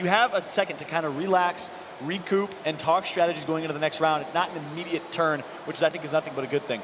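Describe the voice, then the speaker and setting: A man at a fairly high pitch and a very fast pace, with noticeable background noise. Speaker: esports caster, former pro gamer. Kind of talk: live commentary. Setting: stage with audience. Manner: animated.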